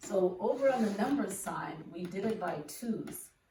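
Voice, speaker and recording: A woman's fairly high, somewhat breathy voice with a dark, mellow tone and lively intonation, very slow in pace, with audible room echo. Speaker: elementary school teacher. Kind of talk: children's lesson video.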